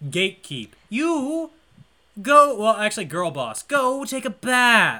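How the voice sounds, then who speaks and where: In a very clean recording with a silent background, a man uses a raised, projected voice at extremely high pitch, bright and sharp in tone, with very wide pitch swings at a very slow pace. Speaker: movie podcast co-host. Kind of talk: casual chat.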